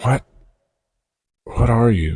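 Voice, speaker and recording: A man puts on a character voice at a medium pitch. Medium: read story. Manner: muttering, hushed.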